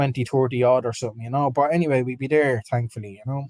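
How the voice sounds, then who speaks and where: Talking at a very fast pace, a man speaks with an Irish accent. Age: 30s. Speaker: football fan podcast co-host. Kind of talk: live stream match reaction chat.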